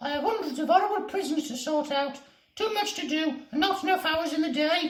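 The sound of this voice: In a put-on character voice with a high pitch, someone speaks at a fairly quick pace with a slight echo.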